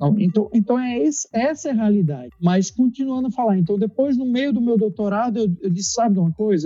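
In a dry, close sound with no echo, a man speaks very fast at a high pitch, dark and mellow in tone with lively intonation. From Brazil, Recife (Pernambuco). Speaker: dentist. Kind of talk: casual interview. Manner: halting, with frequent repetitions.

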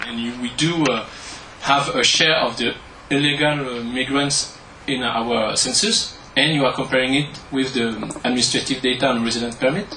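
With a French accent, a man speaks at a medium pitch and moderate pace with fairly even intonation, amid audible room echo and noticeable background noise. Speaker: statistician. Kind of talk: audience question. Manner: halting.

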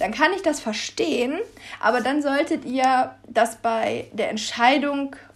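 A woman is speaking. Her pace is very slow. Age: 20s. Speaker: pet podcast host. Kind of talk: solo podcast monologue.

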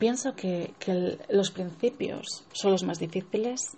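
A woman speaks at a medium pitch. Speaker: sex therapist and entrepreneur. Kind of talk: casual personal monologue. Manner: unscripted, hesitant.

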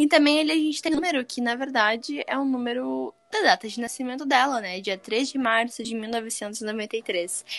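With hardly any pauses, a woman talks in a high pitch with ordinary pitch variation. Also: moderate pace. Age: 20s. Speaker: podcast co-host. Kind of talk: casual chat. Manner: animated.

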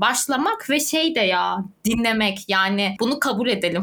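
A woman with a bright, sharp tone and lively intonation, on a very clean recording with a silent background. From southern Turkey (Adana, Antakya). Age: 20s. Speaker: youth NGO volunteer and podcast co-host. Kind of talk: casual chat.

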